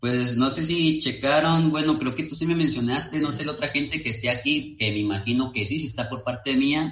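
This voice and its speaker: A plain, everyday voice at a fairly quick pace, with hardly any pauses and ordinary pitch variation. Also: man, fairly high pitch for a man. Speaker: paranormal explorer and video creator. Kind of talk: casual chat.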